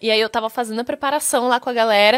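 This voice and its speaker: An unremarkable speaking voice, a woman at fairly high pitch with fairly even intonation, quiet background. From Brazil. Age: 20s. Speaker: actress. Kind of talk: interview. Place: studio. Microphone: studio mic.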